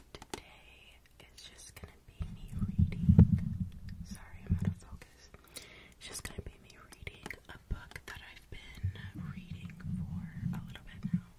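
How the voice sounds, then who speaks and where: A woman whispers at a fairly slow pace. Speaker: ASMR creator. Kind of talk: casual talk to camera. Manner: whispered. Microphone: studio mic.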